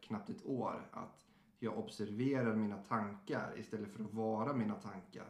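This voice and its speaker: A man speaks at a medium pitch in a monotone, flat intonation. His moderate pace carries audible room echo. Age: 30s. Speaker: podcast host, recovering alcoholic. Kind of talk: casual chat.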